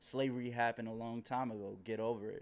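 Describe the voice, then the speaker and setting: With a normal speaking voice at a medium pitch, a man talks at a fairly quick pace in a very clean recording over a silent background. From Maryland, DC and South Carolina. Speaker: author and activist. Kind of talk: interview.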